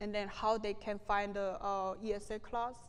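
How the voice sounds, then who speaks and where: With a Korean accent, a woman talks at a moderate pace and medium pitch, and the room echo is audible. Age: 30s. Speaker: refugee activist. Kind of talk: lecture with Q&A. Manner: halting.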